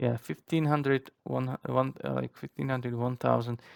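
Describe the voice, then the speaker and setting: With a non-native accent, a man speaks at a medium pitch in a dry, close sound with no echo. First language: not English. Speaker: flight sim group flight organizer. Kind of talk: briefing explanation. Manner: halting, many fillers.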